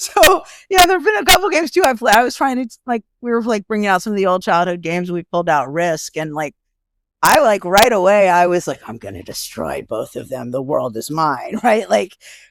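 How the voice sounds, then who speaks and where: With an American accent, a woman talks at a fairly quick pace in a medium pitch, making very wide pitch swings and big swings in loudness, on a very clean recording with a silent background. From Southern California. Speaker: sociology professor. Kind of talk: podcast interview. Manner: fast, filler-heavy.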